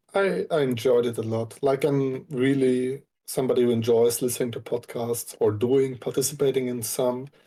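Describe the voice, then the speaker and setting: Speaking at a moderate pace with hardly any pauses, a man with a German accent uses a medium pitch, fairly even intonation and a dark, mellow tone. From Austria. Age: 20s. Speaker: Twitch streamer. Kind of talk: casual chat.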